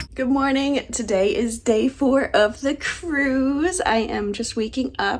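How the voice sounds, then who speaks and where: Delivered at a very slow pace with hardly any pauses, the speech sits over noticeable background noise. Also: woman, high pitch for a woman, ordinary pitch variation. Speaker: travel vlogger. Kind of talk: casual vlog talk.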